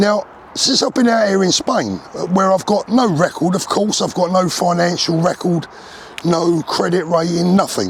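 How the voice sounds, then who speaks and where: Moderate pace and ordinary pitch variation amid noticeable background noise. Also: man, high pitch for a man, very even loudness. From UK. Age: 60s. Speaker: vlogger. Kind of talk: casual monologue rant. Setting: outdoors, walking. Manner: animated.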